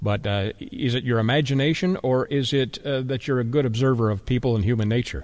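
A man speaks in a plain, everyday voice at medium pitch and a fairly quick pace, with hardly any pauses. His loudness is very even and his pitch varies in an ordinary way. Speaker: radio host. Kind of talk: interview.

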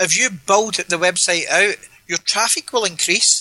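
A man with a Glaswegian accent uses a raised, projected voice that sits high in pitch, with ordinary pitch variation and a moderate pace. The sound is dry and close with no echo, though noticeable background noise runs underneath. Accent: Glaswegian Scottish. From Scotland, Glasgow. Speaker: domain name investor. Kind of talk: interview. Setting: Skype call.

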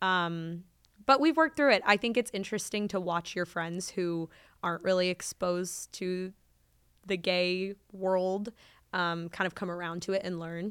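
A woman's plain, everyday voice at medium pitch, with an American accent, fairly even intonation and a moderate pace, on a very clean recording with a silent background. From Texas. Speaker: podcast host, guest. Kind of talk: casual chat.

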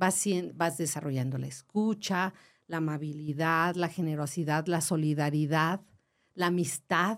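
Very even in loudness, a woman with a very deep, low pitch speaks at a fairly slow pace with fairly even intonation on a very clean recording with a silent background. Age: 60s. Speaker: family education teacher. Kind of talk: casual chat.

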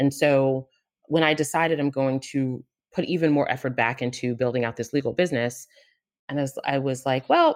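A woman talks at a fairly quick pace in a very deep, low pitch with ordinary pitch variation. The recording is very clean, with a silent background. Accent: American. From New Jersey and Queens, New York. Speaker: lawyer. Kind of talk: interview.

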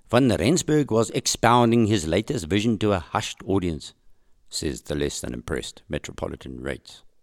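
Vocal fry runs through this man's voice. The sound is dry and close with no echo, on a very clean recording with a silent background. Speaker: podcast host. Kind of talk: history documentary narration. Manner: measured, storytelling narration.

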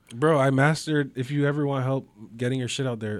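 On a very clean recording with a silent background, a man in a Toronto accent talks at a fairly quick pace with a medium pitch. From Toronto, Canada (Scarborough). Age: 20s. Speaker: digital artist. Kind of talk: casual chat.

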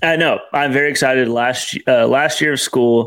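A man with an American accent speaks at a medium pitch and a moderate pace. His tone is fairly bright and his intonation fairly even.

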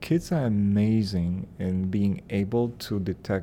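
Fairly low in pitch, a man talks at a fairly slow pace in a dark, mellow tone with ordinary pitch variation. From Poland. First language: Polish. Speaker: ESL teacher. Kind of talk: interview soundbite, casual.

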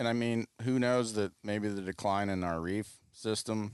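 A man's unremarkable speaking voice at a moderate pace with fairly even intonation. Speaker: fisherman. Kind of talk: casual chat.

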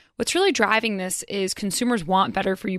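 An ordinary speaking voice with an American accent moves at a fairly quick pace with ordinary pitch variation, recorded very cleanly against a silent background with a dry, close sound and no echo. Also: woman. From North Carolina. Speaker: business reporter. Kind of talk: radio interview. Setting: studio.

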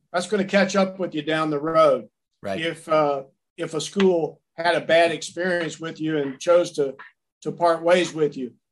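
A man with a Tennessee accent, high-pitched, at a moderate pace and with ordinary pitch variation. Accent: Southern American (Tennessee). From US South, Nashville, Tennessee. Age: 60s. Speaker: sports sales executive. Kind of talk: interview. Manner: halting, many fillers.

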